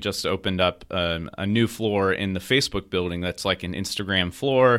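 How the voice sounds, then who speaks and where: With an American accent and a normal speaking voice, the speaker talks at a fairly quick pace with ordinary pitch variation on a very clean recording with a silent background. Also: man. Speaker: software engineering manager. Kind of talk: casual interview.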